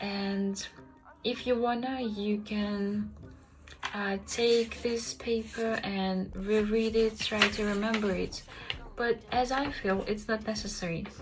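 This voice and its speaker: Amid noticeable background noise, a woman with a Russian accent speaks very slowly in a fairly high pitch and a monotone, flat intonation. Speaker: language learning vlogger. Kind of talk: tutorial. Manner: hesitant, many fillers.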